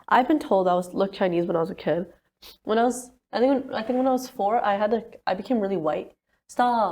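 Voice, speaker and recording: Her intonation lively and her pitch fairly high, a woman talks very fast. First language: Punjabi. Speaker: podcast co-host. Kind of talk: casual chat.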